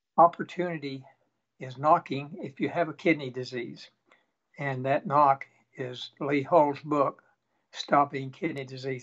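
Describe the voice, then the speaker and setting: At a fairly slow pace, a man with an East Tennessee accent speaks at a fairly high pitch with fairly even intonation and big swings in loudness. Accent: Southern American (East Tennessee). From Tennessee, USA. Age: 80s. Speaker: retired Air Force pilot. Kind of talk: interview answer, patient testimonial.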